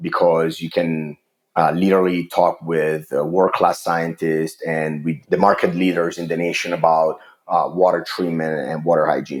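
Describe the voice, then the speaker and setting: A man with an Italian accent talks at a moderate pace. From Italy. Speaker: water treatment chemist. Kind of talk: podcast interview. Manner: halting, many fillers.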